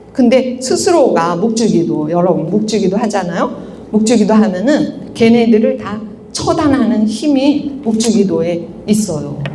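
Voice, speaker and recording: Amid noticeable background noise and audible room echo, a woman speaks at a fairly slow pace in a fairly high, animated voice with lively intonation. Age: 60s. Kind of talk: spiritual lecture to a parish audience. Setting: parish church lecture with audience.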